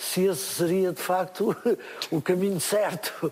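Fairly even intonation from a man, the pace fairly slow. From Portugal, interior. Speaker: musician and children's entertainer. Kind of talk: live interview. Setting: stage with audience.

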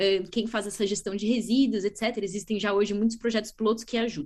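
Speaking with a São Paulo accent, a woman talks at a fairly quick pace. Her pitch is fairly high. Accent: Brazilian Portuguese, São Paulo. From Brazil, São Paulo state. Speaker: biologist and startup co-founder. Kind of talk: interview. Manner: enthusiastic.

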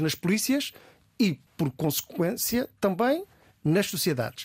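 Dry, close sound with no echo from a man at a fairly slow pace. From Azores, with parents from Beira Baixa, some childhood in Cape Verde. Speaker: senior police commander. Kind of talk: radio interview. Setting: studio.

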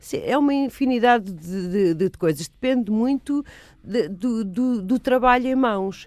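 A woman speaks at a fairly slow pace with lively intonation. Her loudness swings widely from moment to moment. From Lisbon and Almada, Portugal. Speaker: actress and film director. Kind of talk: radio interview. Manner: halting, many fillers.

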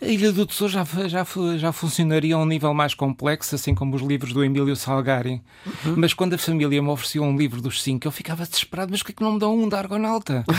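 Lively intonation marks this man's very fast speech, pitched fairly high. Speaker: philosophy teacher and writer. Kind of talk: interview.

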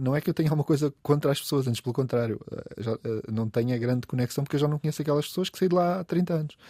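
A man speaks at a very fast pace with a fairly high pitch. His tone is dark and mellow, with ordinary pitch variation. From Portugal, coastal Algarve (Olhão). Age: 50s. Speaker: food writer and event organizer. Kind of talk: casual interview. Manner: halting, many repetitions.

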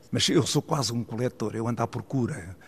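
Somewhat breathy, a man speaks at a medium pitch. His pitch varies in an ordinary way. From Portugal, Águeda (Aveiro district). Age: 80s. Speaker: art collector and businessman. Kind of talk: interview.

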